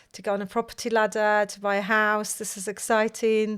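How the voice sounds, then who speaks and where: A woman with a Polish accent, medium pitch and monotone, flat intonation, on a very clean recording with a silent background. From Poland. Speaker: mortgage broker, company founder. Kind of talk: casual chat.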